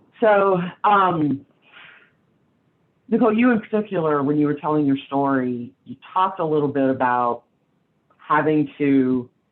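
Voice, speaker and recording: A woman with an American accent, very deep and low in pitch, with lively intonation, a moderate pace and long, frequent pauses. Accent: Southern US, comes out at times. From US South. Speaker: panel moderator. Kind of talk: panel discussion.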